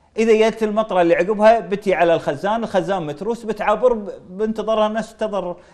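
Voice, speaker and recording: Intonation stays fairly even as the words come at a fairly quick pace. Behind them, things are quiet. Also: man. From Kuwait. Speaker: member of parliament; guest. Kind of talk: political interview. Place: studio. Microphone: lapel.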